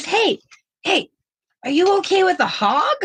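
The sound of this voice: The put-on character voice is extremely high, swinging very widely in pitch at a moderate pace.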